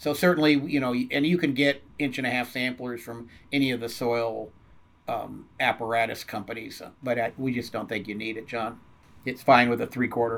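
Fairly even intonation marks a normal speaking voice with an American accent. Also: man, medium pitch for a man, moderate pace. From US Southwest and California. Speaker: turfgrass science professor. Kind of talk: interview. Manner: casual with frequent fillers.

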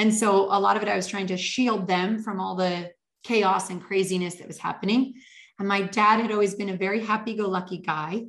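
Fairly quick and flat in intonation, the speech comes in a Canadian accent with big swings in loudness. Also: woman, medium pitch for a woman. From northern Canada. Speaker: leadership coach and author. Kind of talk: interview.

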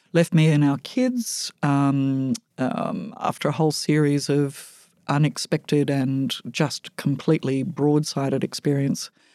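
Dry and close with no echo in a very clean recording with a silent background, a dark, mellow voice in an Australian accent moves fairly slowly with lively intonation and very even loudness. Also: woman, very deep, low pitch for a woman. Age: 60s. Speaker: housing charity executive and board chair. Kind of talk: interview. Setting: studio.

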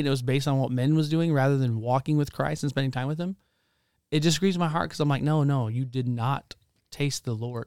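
The recording is very clean with a silent background, and the man in it speaks at a fairly high pitch. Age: 30s. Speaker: pastor. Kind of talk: testimony. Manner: animated.

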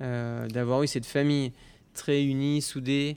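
The intonation stays monotone and flat. A man delivers it at a very slow pace. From Normandy, France (Caen area). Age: 30s. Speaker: pastry chef. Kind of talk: interview. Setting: empty restaurant dining room.

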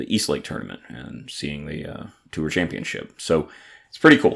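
Using fairly even intonation, a man with a very deep, low pitch and a Southern US accent speaks at a moderate pace. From Atlanta, Georgia. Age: 30s. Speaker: podcast host and brewery owner. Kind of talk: casual solo podcast monologue. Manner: halting with many fillers.

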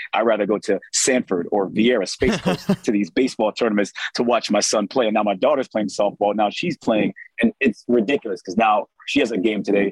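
In an American accent, an unremarkable speaking voice moves at a fairly quick pace with ordinary pitch variation, in a dry, close sound with no echo. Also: man, fairly low pitch for a man. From South Florida. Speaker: TV sports reporter. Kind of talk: casual interview.

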